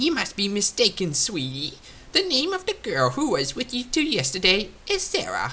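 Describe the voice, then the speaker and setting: Someone does a put-on character voice at a fairly high pitch. The pace is moderate, with clear background noise. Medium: read story. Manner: folksy, homespun, talkative.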